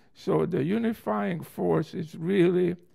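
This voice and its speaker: With a Hungarian accent, a man speaks in a dark, mellow tone with vocal fry. His voice moves through very wide pitch swings. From Hungary. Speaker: interviewee in oral history recording. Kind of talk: personal storytelling conversation.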